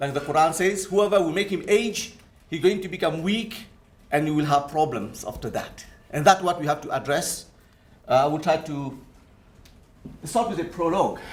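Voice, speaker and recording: Pausing long and often, a man speaks at a moderate pace and fairly high pitch with ordinary pitch variation amid audible room echo. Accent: French. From Mauritius. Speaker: Islamic finance scholar and lecturer. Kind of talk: conference presentation.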